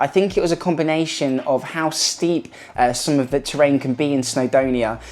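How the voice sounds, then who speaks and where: The intonation stays fairly even amid noticeable background noise. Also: woman. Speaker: running gear reviewer. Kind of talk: product review.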